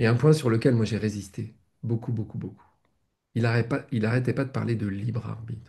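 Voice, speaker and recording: Vocal fry runs through the speech, delivered at a fairly quick pace. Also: man, medium pitch for a man, fairly even intonation. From France. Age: 60s. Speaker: spiritual teacher. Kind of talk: casual chat. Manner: halting.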